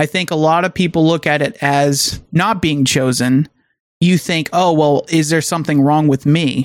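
The speech moves at a moderate pace. It is a very clean recording with a silent background. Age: 20s. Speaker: podcast co-host. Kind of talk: casual chat.

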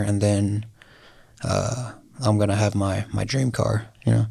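A man with an American accent speaks at a fairly low pitch. His voice is somewhat breathy. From Oklahoma, Lawton area. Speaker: entrepreneur, door-to-door salesman. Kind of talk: casual interview. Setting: studio.

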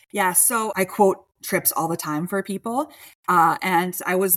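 A woman's unremarkable speaking voice, fairly low-pitched with ordinary pitch variation, at a moderate pace, in a very clean recording with a silent background and a dry, close sound without echo. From Chicago. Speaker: travel advisor. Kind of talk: casual interview.

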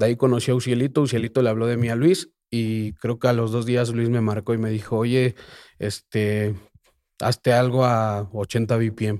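In a very clean recording with a silent background, a man speaks at a moderate pace and medium pitch, his tone dark and mellow and his intonation fairly even. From Mexico City. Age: 20s. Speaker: reggaeton artist and producer. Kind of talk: casual interview.

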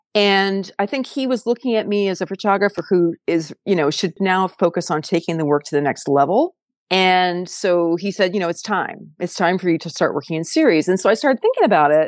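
A woman with a Californian accent at a fairly quick pace, medium pitch, ordinary pitch variation and hardly any pauses, in a dry, close sound with no echo. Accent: General American, Californian. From US West Coast, San Diego. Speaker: photographer. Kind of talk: interview conversation. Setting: podcast studio.

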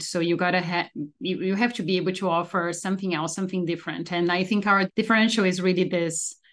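With a Portuguese accent, a woman of fairly low pitch talks at a fairly quick pace in a monotone, flat intonation against a quiet background. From Brazil. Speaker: oncologist. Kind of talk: interview.

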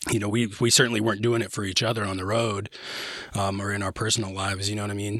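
A man talks at a very fast pace in a fairly low pitch with monotone, flat intonation. Noticeable background noise runs under the recording. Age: 30s. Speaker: musician. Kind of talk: casual chat. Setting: studio.

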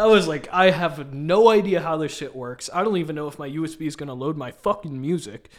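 A man with an American accent and an ordinary speaking voice talks at a fairly quick pace. He has hardly any pauses, and his loudness swings widely. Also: fairly high pitch for a man, ordinary pitch variation. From US Midwest (Kansas City area, Missouri). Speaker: DJ and musician. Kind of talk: casual chat.

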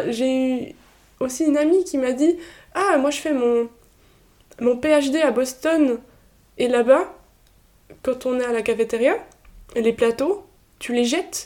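Very slowly and with long, frequent pauses, a woman speaks in a high pitch and a dark, mellow tone, her pitch varying in an ordinary way. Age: 20s. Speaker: medical student. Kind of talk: casual interview. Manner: halting, many repetitions.

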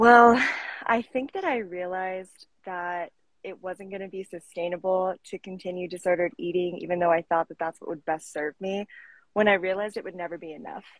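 Speaking at a fairly quick pace, a woman with a plain, everyday voice keeps to a medium pitch in a dry, close sound with no echo. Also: fairly even intonation. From Colorado, US. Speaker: fitness coach. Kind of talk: casual interview. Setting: live stream.

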